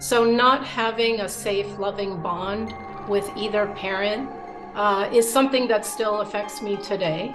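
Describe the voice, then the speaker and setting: Music plays behind a woman speaking at a fairly slow pace. Her medium pitch stays fairly even. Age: 50s. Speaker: abuse survivor. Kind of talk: testimony to camera.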